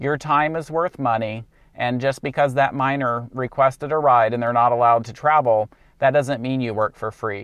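A man with ordinary pitch variation, dry sound with no echo and a quiet background. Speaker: rideshare driver vlogger. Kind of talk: casual vlog advice. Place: car. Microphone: lapel.

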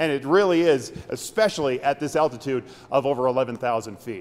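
Ordinary pitch variation from a man, delivered at a moderate speed. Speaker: TV news reporter. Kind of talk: live news stand-up. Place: tunnel cave.

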